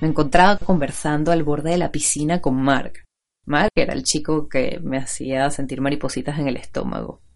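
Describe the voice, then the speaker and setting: A woman with a Venezuelan accent and a very deep, low pitch speaks at a moderate pace with fairly even intonation. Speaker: podcast host. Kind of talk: scripted narration.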